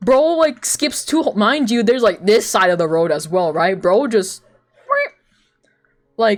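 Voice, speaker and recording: An animated tone at a fairly slow pace, broken by long, frequent pauses. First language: not English. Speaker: streamer and artist. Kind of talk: casual chat.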